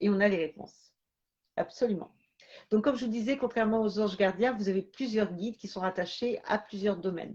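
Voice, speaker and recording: A fairly high, somewhat breathy woman's voice at a fairly quick pace, with ordinary pitch variation. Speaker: medium. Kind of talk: live stream talk. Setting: live stream. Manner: halting.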